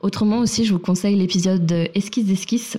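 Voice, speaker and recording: The very clean recording, with a silent background, carries a woman's somewhat breathy voice. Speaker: podcast host. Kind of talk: podcast intro and outro; casual interview. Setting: home apartment during heatwave.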